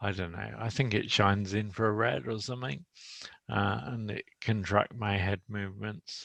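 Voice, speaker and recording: Fairly low-pitched man with ordinary pitch variation, dry, close sound with no echo, and a quiet background. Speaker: person living with motor neuron disease. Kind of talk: casual chat. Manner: slow, halting speech.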